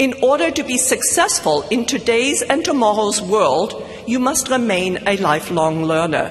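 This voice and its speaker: Amid noticeable background noise, a woman with a fairly high pitch speaks at a moderate pace with very wide pitch swings. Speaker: commencement speaker. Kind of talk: commencement speech. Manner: formal.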